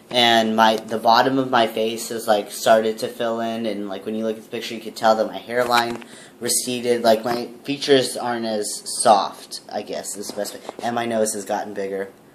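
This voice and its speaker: A man talks at a moderate pace with a medium pitch. His intonation is flat and monotone, and there is noticeable background noise. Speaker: vlogger. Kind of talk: casual video update. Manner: hesitant, many fillers.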